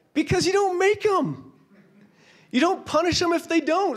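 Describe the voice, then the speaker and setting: With an American accent, a man talks at a fairly slow pace. The background is quiet. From Washington State, US. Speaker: company founder speaking at a conference; conference presenter. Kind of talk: conference keynote. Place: hall. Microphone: handheld.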